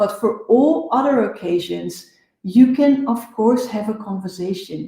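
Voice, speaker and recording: Speaking fairly slowly with a Dutch accent, a woman has a fairly high pitch, a dark, mellow tone and ordinary pitch variation. Her voice is somewhat breathy, and room echo is audible. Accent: non-native English, Dutch. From Netherlands. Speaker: business coach. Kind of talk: live show talk.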